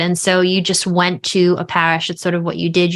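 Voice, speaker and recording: A woman speaks with an American accent at a fairly low pitch. The recording is very clean, with a silent background. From New York, Long Island. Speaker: author and speaker on faith. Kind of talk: podcast interview.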